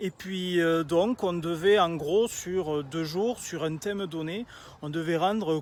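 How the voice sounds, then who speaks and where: A man with a Toulouse accent speaks in a high pitch at a fairly slow pace, with ordinary pitch variation. The recording is very clean, with a silent background. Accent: southern French (Toulouse). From southern France, Toulouse area. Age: 30s. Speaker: aspiring public speaker. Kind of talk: storytelling video pitch. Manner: casual, many filler hesitations.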